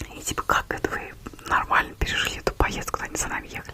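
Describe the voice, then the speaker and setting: A woman is whispering. Noticeable background noise can be heard behind her. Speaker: ASMR creator. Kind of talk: casual chatty monologue to camera about a trip. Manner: chatty, gossipy, quiet.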